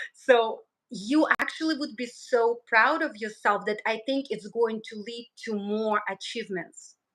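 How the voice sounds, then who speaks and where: A fairly slow pace with ordinary pitch variation. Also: woman, fairly high pitch for a woman, hardly any pauses. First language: not English. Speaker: numerologist. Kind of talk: live stream conversation.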